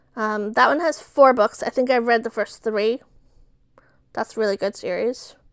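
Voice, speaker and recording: A normal speaking voice at a moderate pace, with ordinary pitch variation and a dry, close sound with no echo. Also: woman, fairly high pitch for a woman. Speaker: podcast host. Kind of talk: casual solo podcast chat about entertainment. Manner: casual, chatty.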